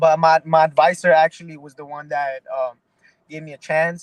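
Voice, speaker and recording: A man talks in a New York accent, his pitch fairly high. The intonation is monotone and flat, and the sound is dry and close with no echo. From Mexico, raised in the Bronx, New York. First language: Spanish. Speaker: pro boxer. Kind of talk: interview. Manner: halting, many repeated words.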